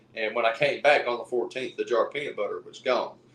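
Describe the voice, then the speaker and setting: A man is speaking. He has an Appalachian accent. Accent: Southern US (Appalachian). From East Tennessee. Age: 20s. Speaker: Bigfoot researcher and lineman. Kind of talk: casual interview storytelling.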